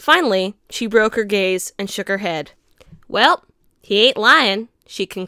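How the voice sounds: Here is a natural reading voice with fairly even intonation. The background is quiet.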